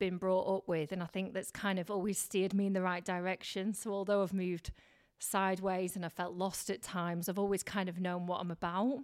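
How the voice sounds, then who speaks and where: This woman has a Lancashire accent. She talks at a moderate pace. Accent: Lancashire northern English. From Blackburn, northern England. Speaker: radio presenter and TV reporter. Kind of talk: casual interview chat. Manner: animated, chatty.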